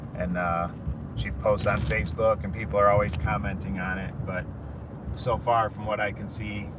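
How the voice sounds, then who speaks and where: A man's fairly low voice at a moderate pace, with audible room echo and noticeable background noise. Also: ordinary pitch variation. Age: 30s. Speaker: cancer patient vlogger. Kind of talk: casual vlog monologue. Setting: in a car. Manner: loud.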